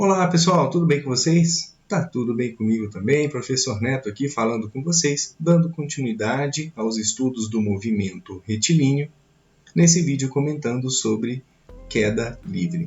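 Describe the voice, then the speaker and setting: This man's voice sits at a medium pitch and sounds somewhat breathy. His intonation is lively. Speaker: physics teacher. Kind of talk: lecture. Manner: slow.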